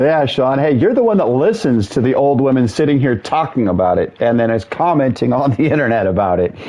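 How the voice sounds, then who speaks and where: With noticeable background noise behind him, a man of medium pitch speaks at a fairly quick pace with lively intonation, very even loudness and hardly any pauses. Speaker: gaming streamer. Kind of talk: casual chat. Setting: live stream with headset. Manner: fast.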